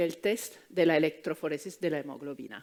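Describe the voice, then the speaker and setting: A woman speaks at a moderate pace with an Italian accent. The recording is very clean, with a silent background. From Italy. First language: Italian (speaking Spanish). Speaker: fertility doctor. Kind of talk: conference talk. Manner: hesitant, many fillers.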